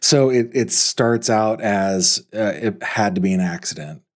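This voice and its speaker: A man's fairly low-pitched voice with lively intonation. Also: very even loudness. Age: 40s. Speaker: true crime podcast host. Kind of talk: interview conversation.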